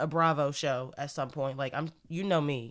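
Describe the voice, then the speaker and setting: In a very clean recording with a silent background, a woman speaks at a moderate pace in an animated tone. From United States. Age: 20s. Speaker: podcast host. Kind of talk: solo podcast monologue. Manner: loud.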